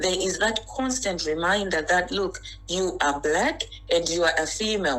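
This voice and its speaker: A woman at a medium pitch with a Zimbabwean accent, amid noticeable background noise and audible room echo. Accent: Zimbabwean accent, still noticeable. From Zimbabwe (Harare). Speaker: interview guest. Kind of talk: interview.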